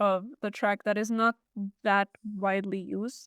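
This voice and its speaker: A woman with a Czech accent speaks very slowly in a monotone, flat way at a fairly high pitch. The recording is very clean with a silent background and a dry, close sound with no echo. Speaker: podcast host. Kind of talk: casual chat.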